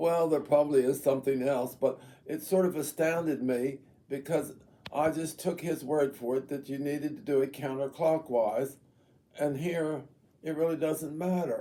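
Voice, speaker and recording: The tone is dark and mellow, with fairly even intonation at a moderate pace. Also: man, fairly high pitch for a man. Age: 80s+. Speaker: elderly gardener sharing life stories. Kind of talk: casual chat. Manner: halting.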